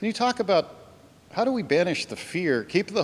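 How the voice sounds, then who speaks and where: Here a man is talking. His pace is fairly quick. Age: 60s. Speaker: longtime congregation member. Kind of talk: church Q&A discussion. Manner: halting.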